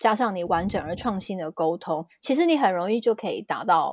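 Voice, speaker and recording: Fairly quick speech comes from an unremarkable speaking voice, its intonation lively. Behind it the background is silent, and the recording is very clean. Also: woman. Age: 30s. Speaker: numerology teacher. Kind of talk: casual explanatory chat.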